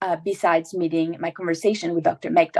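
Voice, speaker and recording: A woman talks at a medium pitch with a non-native accent and ordinary pitch variation. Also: dry, close sound with no echo. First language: not English. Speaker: water agency manager, former graduate assistant. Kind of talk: prepared remarks in a webinar. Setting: virtual webinar.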